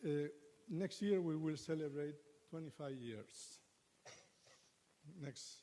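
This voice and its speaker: This man has a fairly high pitch and a dark, mellow tone with ordinary pitch variation. He talks at a very slow pace, with long, frequent pauses. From Argentina. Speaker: Buddhist monk, abbot. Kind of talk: conference presentation.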